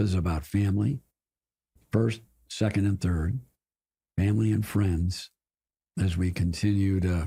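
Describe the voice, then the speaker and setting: A man with an American accent has a dark, mellow tone and a somewhat breathy voice, recorded very cleanly against a silent background. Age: 80s+. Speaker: corporate board director. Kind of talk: podcast interview.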